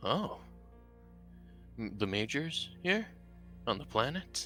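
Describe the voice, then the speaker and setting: Putting on a character voice at a fairly high pitch, a man speaks at a fairly slow pace with very wide pitch swings while clear music plays in the background. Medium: actual play. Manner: wry, guarded.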